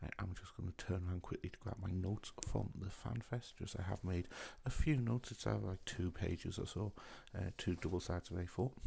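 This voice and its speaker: A soft-spoken man with a British accent talks at a fairly quick pace in a very deep, low voice. His tone is dark and mellow, somewhat breathy, with ordinary pitch variation. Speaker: gaming YouTuber. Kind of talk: casual video commentary. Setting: at home at night. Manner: quiet.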